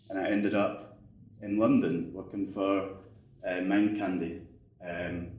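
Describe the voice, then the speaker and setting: A man speaks with a Scottish accent at a fairly low pitch. Room echo can be heard. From Scotland. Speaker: game developer. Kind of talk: conference talk. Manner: casual, many fillers.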